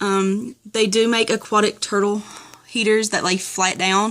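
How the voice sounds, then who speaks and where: A woman with a strong Southern US accent speaks at a medium pitch on a very clean recording with a silent background. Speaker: turtle keeper. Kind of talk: casual talk to camera.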